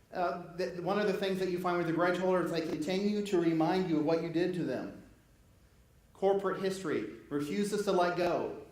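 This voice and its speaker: In an audibly echoing room, a man with a high voice talks at a fairly quick pace, broken by long, frequent pauses. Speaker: pastor. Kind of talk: sermon. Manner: animated; fast.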